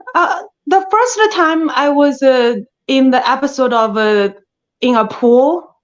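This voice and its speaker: At a very slow pace, a woman speaks in a high pitch with lively intonation and a strong Chinese accent. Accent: thick Chinese. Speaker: actress. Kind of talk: interview. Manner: halting.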